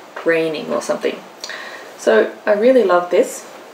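With an Australian accent, a woman speaks at a medium pitch and moderate pace with lively intonation, amid light background noise and audible room echo. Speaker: craft vlogger. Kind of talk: casual show-and-tell vlog. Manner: chatty, animated. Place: home room. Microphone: camera far.

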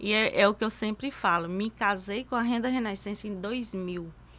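The woman's tone is bright and sharp. She keeps her intonation fairly even. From Brazilian Northeast, Cariri region of Paraíba; Brazilian Northeast. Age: 50s. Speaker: master lacemaker; guest. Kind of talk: interview. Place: studio. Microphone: studio mic.

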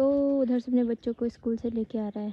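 Dry with no echo, this recording has a woman with an unremarkable speaking voice and a fairly high pitch talking at a moderate pace with fairly even intonation. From Uttarakhand, Garhwal; Uttarakhand. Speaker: village vlogger. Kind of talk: vlog narration. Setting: outdoors. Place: open country. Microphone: phone near.

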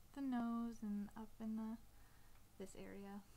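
Mumbling very slowly, a woman speaks in a fairly high, somewhat breathy voice with monotone, flat intonation. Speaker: artist. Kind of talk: drawing tutorial talk. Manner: casual, mumbling to herself.

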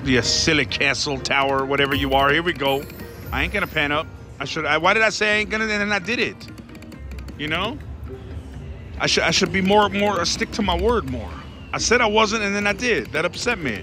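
A man talks at a fairly quick pace over clear background music, the sound dry with no echo. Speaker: slot player vlogger. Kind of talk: casual gambling commentary. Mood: excited, playful. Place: hall. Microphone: phone near.

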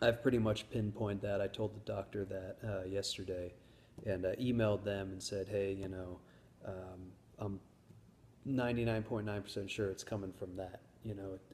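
This man's somewhat breathy voice holds a monotone, flat intonation against light background noise. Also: moderate pace. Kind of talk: casual vlog chat. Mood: calm, matter-of-fact. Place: home room. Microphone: phone near.

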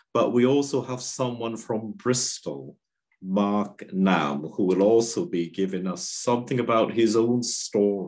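A man with a plain, everyday voice, fairly low pitch and lively intonation, at a fairly slow pace against a quiet background. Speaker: health service worker; clergyman hosting webinar. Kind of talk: discussion and closing prayer. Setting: video call. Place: home room. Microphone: video call.

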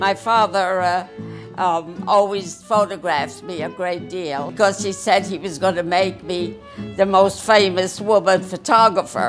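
Clear music sits in the background as a woman speaks at a fairly slow pace with ordinary pitch variation. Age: 80s+. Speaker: photographer. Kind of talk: interview answer. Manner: hesitant, halting. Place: home room.

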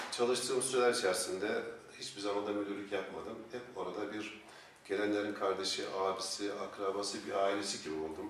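Speaking at a fairly quick pace, a man keeps a fairly low pitch and fairly even intonation. Audible room echo and light background noise come through. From Eskişehir, Turkey. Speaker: political candidate. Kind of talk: formal interview. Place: office.

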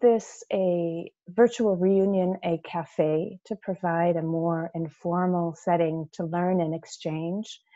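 A woman against a quiet background. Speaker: webinar host. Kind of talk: webinar presentation. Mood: friendly, informal welcome. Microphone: video call.

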